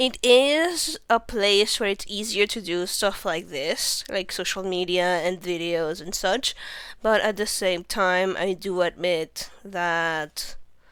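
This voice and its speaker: Speaking very slowly with a Spanish accent, a woman uses a medium pitch and ordinary pitch variation. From Venezuela. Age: 20s. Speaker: vtuber streamer. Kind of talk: casual livestream self-introduction. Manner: hesitant, many fillers.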